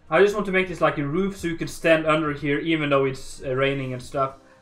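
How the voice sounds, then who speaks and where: A man's fairly high voice at a moderate pace, with music in the background. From northern Norway. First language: Norwegian. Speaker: gaming livestreamer. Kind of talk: casual livestream commentary while building. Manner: relaxed, many fillers and hesitations.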